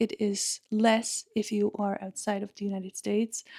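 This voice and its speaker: A woman speaks with a strong Czech accent at a medium pitch. The recording is very clean with a silent background and has a dry, close sound with no echo. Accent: Czech English accent, thick. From Czech Republic. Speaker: podcaster. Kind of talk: personal storytelling monologue.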